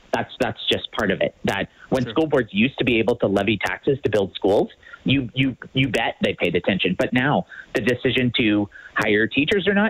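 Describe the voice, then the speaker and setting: A man talks at a fairly quick pace in a medium pitch, a plain, everyday voice with ordinary pitch variation and very even loudness. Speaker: school board trustee. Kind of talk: radio interview.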